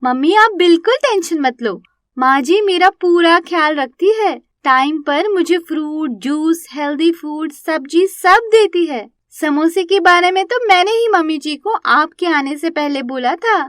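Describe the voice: A put-on character voice with lively intonation, a fairly bright tone and a fairly slow pace. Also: woman, extremely high pitch for a woman.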